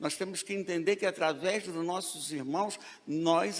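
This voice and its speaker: Speaking fairly slowly, this man has a high voice whose pitch varies in an ordinary way. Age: 60s. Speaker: preacher. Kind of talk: sermon.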